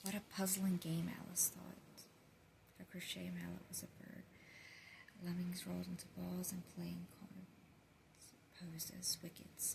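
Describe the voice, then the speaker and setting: Someone is whispering. The pace is fairly slow. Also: woman. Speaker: ASMR creator. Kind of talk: bedtime story reading. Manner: soft-spoken.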